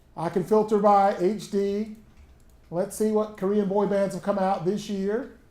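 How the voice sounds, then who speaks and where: A man's high-pitched voice shows ordinary pitch variation as he talks at a moderate pace. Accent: strong Southern US. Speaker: college instructor. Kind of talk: workshop tutorial. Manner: casual, conversational.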